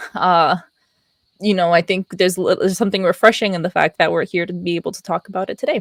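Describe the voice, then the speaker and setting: A quiet woman's voice with an American accent at medium pitch, very fast and fairly even in intonation, with a dry, close sound and no echo. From Pennsylvania, US. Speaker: podcast co-host. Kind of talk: casual chat. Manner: giggly, hesitant with filler words.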